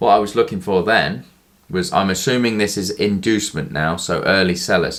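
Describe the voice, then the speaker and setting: A man speaks in a plain, everyday voice at a moderate pace. His pitch is fairly low, with ordinary variation. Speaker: forex day trader. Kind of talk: tutorial.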